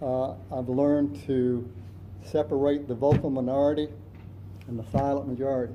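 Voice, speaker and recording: Audible room echo surrounds a man speaking at a moderate pace and medium pitch. His tone is dark and mellow, with ordinary pitch variation. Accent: American. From South Florida. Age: 70s. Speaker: city council candidate. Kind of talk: candidate forum answers.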